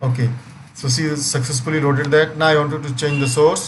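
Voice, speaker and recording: A man speaks with fairly high pitch and fairly even intonation. Noticeable background noise and audible room echo surround him. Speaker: software trainer. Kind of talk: live online training session.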